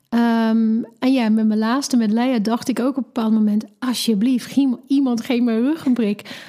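In an English accent, a woman with a fairly high pitch and a dark, mellow tone talks at a fairly slow pace in a monotone, flat delivery with hardly any pauses. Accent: English-accented Dutch. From England. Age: 40s. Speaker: mother sharing birth story. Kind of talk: personal storytelling interview. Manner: halting.

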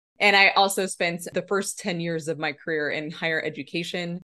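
A woman with an American accent and an unremarkable speaking voice, fairly low in pitch, with fairly even intonation and a moderate pace. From Nebraska. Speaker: motivational speaker and leadership coach. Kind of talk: casual interview.

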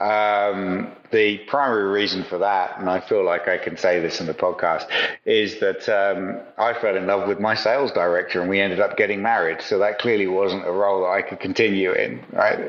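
A fairly low-pitched male voice at moderate speed, amid noticeable background noise. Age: 50s. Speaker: retail consultant. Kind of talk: interview. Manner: halting.

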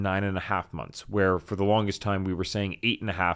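A man speaks in an upbeat tone on a very clean recording with a silent background. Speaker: podcast host and course enrollment advisor. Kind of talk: casual solo podcast episode. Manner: fast talker, excitable; upbeat, conversational.

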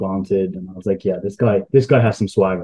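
This man has a strong British accent and a fairly low pitch. His intonation is monotone and flat. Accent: heavy UK. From UK. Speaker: sports analytics contributor. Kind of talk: podcast interview. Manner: casual, with hesitations.

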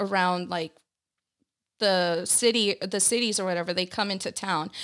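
This is an ordinary speaking voice, a woman at a medium pitch and moderate pace. The recording is very clean with a silent background. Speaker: guest. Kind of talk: casual chat.

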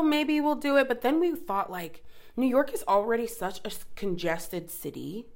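A woman with an American accent at a moderate pace, with very wide pitch swings. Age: 20s. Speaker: podcast co-host. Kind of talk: casual chat.

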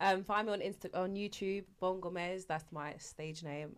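Speaking with a London accent, a woman uses a fairly low pitch with ordinary pitch variation. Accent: London English, multicultural London. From East London, Canning Town. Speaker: YouTuber. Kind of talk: casual chat.

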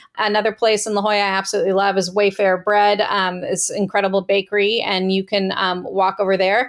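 A woman with an American accent speaks at a very fast pace and medium pitch with hardly any pauses, her intonation monotone and flat and her loudness very even. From Northern California, Marin County. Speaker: romance novelist. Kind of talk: interview. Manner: hesitant, many fillers.

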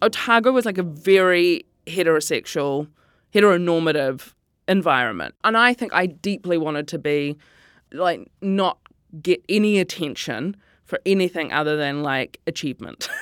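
Recorded very cleanly against a silent background, a woman with a fairly low pitch talks at a moderate pace with lively intonation, the sound dry and close with no echo. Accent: New Zealand. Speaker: comedian and writer. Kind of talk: interview.

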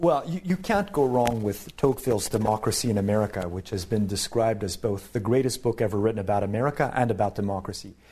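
A man speaks very fast with hardly any pauses, his fairly low, somewhat breathy voice dark and mellow in tone. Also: ordinary pitch variation. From Canada. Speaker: professor. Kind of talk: casual chat. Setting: studio.

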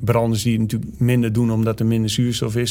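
Audible room echo surrounds a man's medium-pitched voice. He talks at a very fast pace in a flat monotone. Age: 40s. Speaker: army commando instructor. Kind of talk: interview. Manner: hesitant, many filler sounds.

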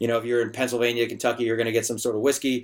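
The background is silent and the recording very clean. On it, a man talks at a medium pitch. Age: 50s. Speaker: bartender and bar owner. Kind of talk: podcast interview. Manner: repetitive, halting phrasing.

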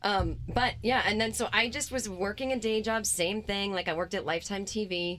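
A woman with an American accent has an ordinary speaking voice of medium pitch, showing ordinary pitch variation as she talks at a moderate pace with hardly any pauses. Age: 40s. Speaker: comedian. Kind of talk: casual chat.

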